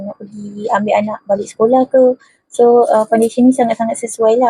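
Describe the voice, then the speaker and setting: Whispering at a moderate pace, a woman is heard in a dry, close recording with no echo. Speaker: beauty vlogger. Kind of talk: makeup tutorial. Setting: bedroom at home.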